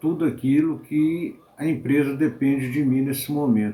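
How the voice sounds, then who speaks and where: A man's dark, mellow tone at a very slow pace. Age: 70s. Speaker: accountant. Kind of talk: interview testimony.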